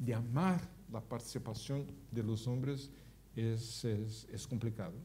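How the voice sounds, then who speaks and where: In a room with audible echo, a man speaks fairly slowly at medium pitch, his dark, mellow tone somewhat breathy. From Brazil. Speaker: gerontologist, public health expert. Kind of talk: public talk with audience Q&A. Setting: auditorium with live audience.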